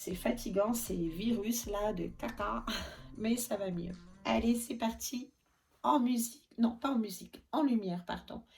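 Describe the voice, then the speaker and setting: With vocal fry and fairly high pitch, a woman talks at a very slow pace using ordinary pitch variation. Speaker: reborn doll maker and vlogger. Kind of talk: casual vlog chat. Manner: chatty, hesitant with many fillers.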